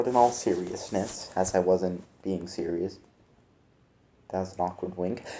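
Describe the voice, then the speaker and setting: A man's very deep, low voice at a fairly slow pace, with fairly even intonation and long, frequent pauses. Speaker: gaming YouTuber. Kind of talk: casual video talk. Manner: halting.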